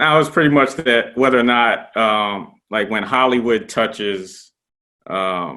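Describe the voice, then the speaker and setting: Speaking at a fairly slow pace, this man has an unremarkable speaking voice, medium in pitch with ordinary pitch variation. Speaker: interview host. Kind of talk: interview questions. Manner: casual.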